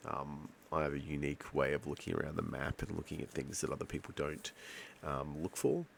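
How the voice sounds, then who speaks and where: A man speaks quietly. He talks with an Australian accent. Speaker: gaming YouTuber. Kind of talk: gameplay commentary. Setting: at home at night. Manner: quiet, kept low; hesitant, many fillers.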